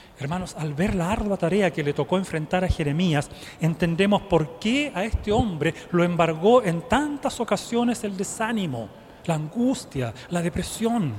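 Amid noticeable background noise, a high-pitched man talks at a fairly slow pace with lively intonation. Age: 50s. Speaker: lay preacher. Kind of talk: sermon. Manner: rhetorical questions to congregation.

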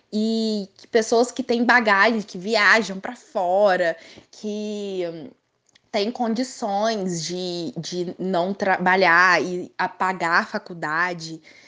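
Against a quiet background, a woman with a bright, sharp tone and a medium pitch speaks at a very slow pace, with ordinary pitch variation and big swings in loudness. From Brazil, Minas Gerais (Três Corações). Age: 20s. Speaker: law student. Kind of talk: casual interview.

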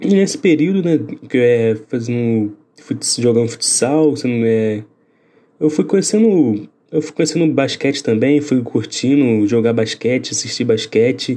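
A man speaks fairly slowly at a medium pitch with lively intonation. His is an unremarkable speaking voice. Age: 20s. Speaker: podcast host, journalism student. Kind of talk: casual chat.

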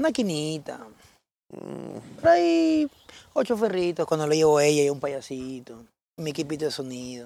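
With an unremarkable speaking voice, a man talks at a fairly slow pace in a fairly high pitch with ordinary pitch variation. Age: 30s. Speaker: robot costume performer. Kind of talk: casual chat.

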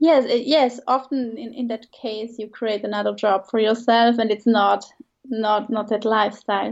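A woman with a Swiss German accent, fairly high in pitch, at a moderate pace. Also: fairly even intonation. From Switzerland. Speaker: branding designer and coach. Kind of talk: casual interview.

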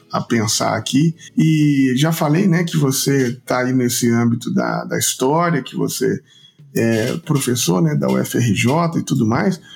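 A man speaks at a medium pitch in a normal speaking voice. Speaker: podcast host. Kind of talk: read-out sponsor message; interview.

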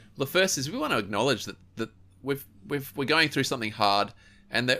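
A man with an Australian accent, very fast and bright, sharp in tone, with very wide pitch swings. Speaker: podcast host and youth ministry advisor. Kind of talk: casual chat.

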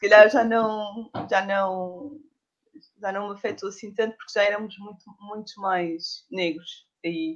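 A woman speaks at a very slow pace. Her pitch varies in an ordinary way while her loudness swings widely. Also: medium pitch for a woman. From Portugal, Lisbon area. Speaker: doula. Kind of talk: casual interview.

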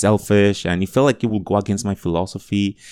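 In a very clean recording with a silent background and a dry, close sound without echo, a man with a Spanish accent speaks at a moderate pace in a fairly low pitch. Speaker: education advocate and speaker. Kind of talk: interview.

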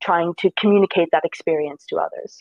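Speaking with a New Jersey accent, a woman moves at a fairly quick pace. Her pitch variation is ordinary. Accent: American, New Jersey. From US, New Jersey. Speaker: design student. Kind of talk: interview.

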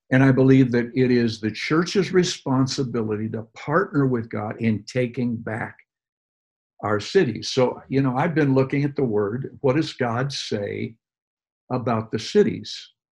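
At a fairly slow pace, a man with an American accent speaks in a normal speaking voice. His pitch is medium, with ordinary pitch variation. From US Midwest, Detroit. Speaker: pastor. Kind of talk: interview about faith and ministry.

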